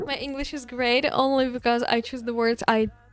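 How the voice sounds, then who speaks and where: Fairly high woman's voice at a moderate pace, with music in the background. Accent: non-native. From Eastern Europe. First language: not English. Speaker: streamer. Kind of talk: casual chat. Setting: live stream.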